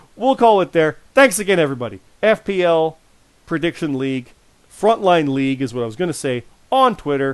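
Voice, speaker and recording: A fairly quick man's voice, fairly high in pitch, with very wide pitch swings. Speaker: podcast host. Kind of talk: casual chat.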